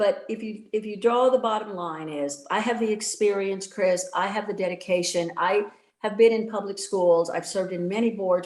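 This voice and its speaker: Delivered with fairly even intonation at a moderate pace, this is an ordinary speaking voice. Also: woman. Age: 60s. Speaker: political candidate, retired educator. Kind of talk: debate closing statement.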